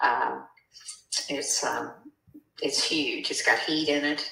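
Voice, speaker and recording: Someone speaks at a fairly slow pace with audible room echo around the voice. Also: woman. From US South. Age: 70s. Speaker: property seller. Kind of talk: phone conversation.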